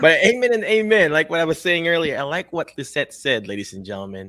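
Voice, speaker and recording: A man with a Filipino accent speaks at a fairly quick pace with lively intonation and a bright, sharp tone. The recording is very clean, with a silent background. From Philippines. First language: Tagalog or other Philippine language. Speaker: physical therapist and career coach show host. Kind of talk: interview show, motivational talk. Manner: animated, preachy.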